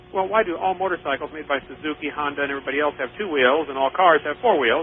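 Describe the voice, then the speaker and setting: Over noticeable background noise, a man with an American accent talks at a very fast pace, with a fairly high pitch and ordinary pitch variation. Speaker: creationist lecturer and radio host. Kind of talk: radio call-in debate. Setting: radio studio.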